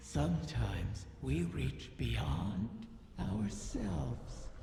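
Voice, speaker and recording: A put-on character voice at a very deep, low pitch and very slow pace, with clear echo and clear background noise. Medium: machinima. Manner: silky, languid, insinuating.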